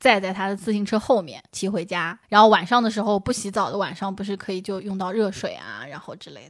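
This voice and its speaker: A woman talks at a fairly quick pace in an ordinary speaking voice, medium in pitch with fairly even intonation. Her loudness swings widely, on a very clean recording with a silent background. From Jiangsu-Zhejiang region. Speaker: podcast co-host. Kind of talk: casual chat.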